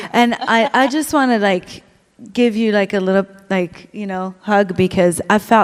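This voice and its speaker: The delivery is at a fairly slow pace. Pitch varies in an ordinary way. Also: woman, medium pitch for a woman. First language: not English. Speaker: singer and bass player. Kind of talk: casual panel interview.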